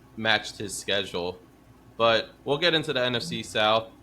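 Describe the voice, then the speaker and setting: The voice has a bright, sharp tone, a moderate pace and ordinary pitch variation. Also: man. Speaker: football podcast host. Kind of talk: casual chat. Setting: home. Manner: loud.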